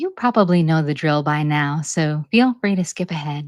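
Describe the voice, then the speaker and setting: With an American accent, a woman speaks quietly in a calm tone at a moderate pace with ordinary pitch variation, on a very clean recording with a silent background and a dry, close sound with no echo. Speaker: channel host reading articles aloud. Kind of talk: introduction to a read-aloud episode. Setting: home recording. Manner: calm and quiet; medium pace, clear enunciation.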